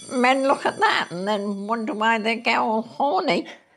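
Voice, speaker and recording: Over faint background music, a woman talks at a fairly slow pace, her fairly high pitch showing ordinary variation. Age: 70s. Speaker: reaction video host. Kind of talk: casual reaction talk. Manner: blunt, outspoken. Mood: blunt, disapproving opinion. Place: home room. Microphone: lapel.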